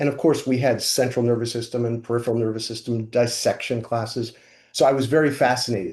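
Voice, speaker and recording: Over a quiet background, a man talks very fast in a somewhat breathy voice with monotone, flat intonation. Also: medium pitch for a man. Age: 60s. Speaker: chiropractor and functional neurology clinician. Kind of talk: interview. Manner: halting.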